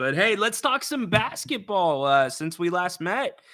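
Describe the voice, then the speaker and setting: The man's tone is bright and sharp, with lively intonation. He speaks at a moderate pace. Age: 30s. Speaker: sports radio host. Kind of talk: casual chat.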